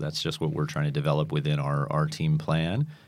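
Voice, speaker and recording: A man talking fairly quickly, with very wide pitch swings. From northern England, Manchester. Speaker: high school soccer coach. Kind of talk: interview.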